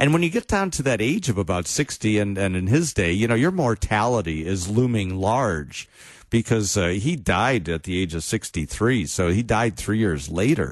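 Against a quiet background, a normal speaking voice moves at a moderate pace. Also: man. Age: 60s. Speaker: pastor. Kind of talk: casual chat.

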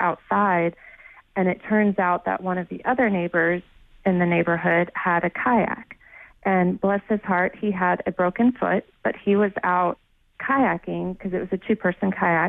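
With an American accent and a plain, everyday voice, a woman of medium pitch speaks at a fairly slow pace. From Houston, Texas. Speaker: new mother sharing hurricane story. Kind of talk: interview testimony. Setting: phone call.

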